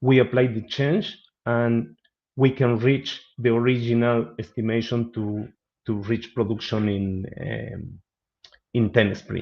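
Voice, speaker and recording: A man with a Spanish accent speaks at a very slow pace and with fairly even intonation. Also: medium pitch for a man. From Argentina. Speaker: business analyst. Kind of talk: webinar presentation and Q&A. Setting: online webinar. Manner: halting.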